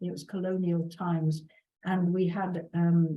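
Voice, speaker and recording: This woman talks at a very slow pace in a fairly low pitch. Her tone is dark and mellow, and somewhat breathy. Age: 70s. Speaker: workshop host sharing memories. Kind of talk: personal storytelling. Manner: halting, with many fillers.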